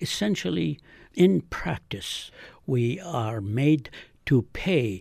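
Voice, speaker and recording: The voice is somewhat breathy, with a dark, mellow tone and an Arabic accent, at a very slow pace. The recording is very clean, with a silent background. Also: man. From Galilee, Israel (Palestinian). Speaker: physician and author. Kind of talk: interview.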